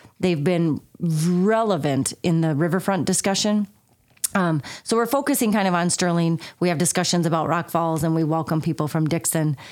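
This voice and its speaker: In a plain, everyday voice with an American accent, the speaker talks at a moderate pace with ordinary pitch variation and very even loudness. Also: woman. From southern Minnesota. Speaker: chamber of commerce executive director. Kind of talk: interview conversation.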